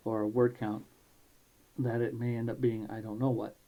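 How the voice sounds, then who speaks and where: The tone is dark and mellow. The words come out mumbled. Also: man. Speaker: amateur writer and programmer. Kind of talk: casual talk to camera. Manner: mumbles a lot.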